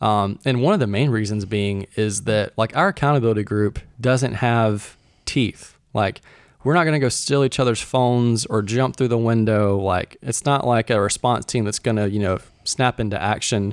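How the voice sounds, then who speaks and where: On a very clean recording with a silent background, a man at medium pitch keeps very even loudness, ordinary pitch variation and a moderate pace. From Mississippi, US South. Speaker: guest, church resident. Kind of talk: casual interview chat.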